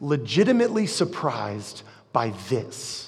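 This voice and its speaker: A man talks at a fairly slow pace. Some room echo can be heard. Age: 40s. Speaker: pastor. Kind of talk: sermon. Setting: church. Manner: casual, conversational.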